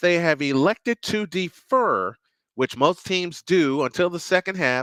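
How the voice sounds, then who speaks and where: This speaker's tone is excited and energetic, bright and sharp, with lively intonation at a fairly slow pace. The recording is very clean with a silent background, and the sound is dry and close with no echo. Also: man. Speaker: sports play-by-play announcer. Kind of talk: radio-style sports play-by-play. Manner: excited, energetic.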